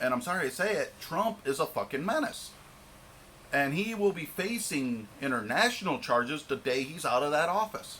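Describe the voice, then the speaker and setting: A man talks at a moderate pace with an American accent, his fairly high pitch making very wide swings. Noticeable background noise is present. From Michigan, US. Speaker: vlogger. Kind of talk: rant. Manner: stumbling over words.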